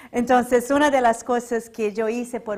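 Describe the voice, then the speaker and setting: Speaking at a fairly slow pace, a woman with a Portuguese accent uses a fairly high voice. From Brazil, São Paulo. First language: Portuguese (speaking Spanish). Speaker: religious lecturer. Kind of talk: public lecture.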